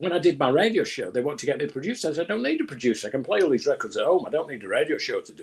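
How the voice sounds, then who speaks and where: A man with a Manchester accent at a very fast pace, hardly any pauses, and big swings in loudness. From northern England, Manchester. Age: 70s. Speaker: music executive. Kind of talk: casual interview. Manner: halting, repeats words.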